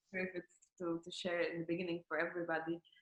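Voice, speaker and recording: A woman with a fairly low pitch at a fairly quick pace. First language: not English. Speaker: former course participant. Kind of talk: interview. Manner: halting.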